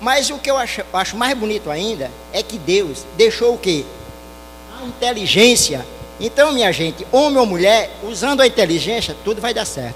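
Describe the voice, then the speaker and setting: With music in the background, a man speaks in a high pitch with lively intonation. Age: 60s. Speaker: audience member. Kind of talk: public remarks at panel discussion.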